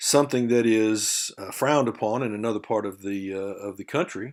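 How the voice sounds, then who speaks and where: On a very clean recording with a silent background, a man speaks with a Southern US accent and ordinary pitch variation. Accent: faint Southern drawl, by own account. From Texas. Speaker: university lecturer. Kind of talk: lecture. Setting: recorded video lesson. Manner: conversational, with frequent fillers.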